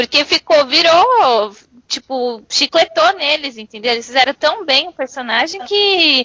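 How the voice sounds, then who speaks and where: A woman speaks in a raised, projected voice at a high pitch, her intonation lively. The pace is fairly slow, and the sound is dry and close with no echo. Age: 20s. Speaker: podcast guest. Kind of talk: casual chat.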